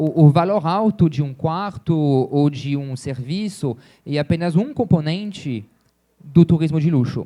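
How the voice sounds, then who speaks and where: Pitched fairly high with ordinary variation, a man speaks at a fairly slow pace. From France (Champagne). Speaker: luxury travel business owner. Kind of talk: panel talk. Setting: stage with audience. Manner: hesitant with fillers.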